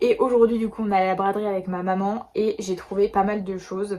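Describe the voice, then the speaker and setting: Through noticeable background noise, a woman speaks at medium pitch with monotone, flat intonation. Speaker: beauty and lifestyle vlogger. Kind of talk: casual vlog talk to camera. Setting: shopping trip at a flea market. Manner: fast; hesitant with many fillers.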